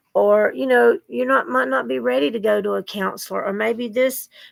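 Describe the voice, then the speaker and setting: At a moderate pace, a woman speaks with a Southern US accent. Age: 60s. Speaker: vlogger. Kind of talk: casual chat. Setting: at home, bedroom desk. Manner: rambling, informal.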